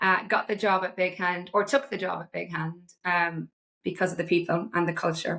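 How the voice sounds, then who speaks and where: Against a quiet background, a woman with an Irish accent speaks in a fairly low pitch with a bright, sharp tone and fairly even intonation. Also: moderate pace. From small town in Ireland. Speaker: marketing executive. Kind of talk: casual interview chat.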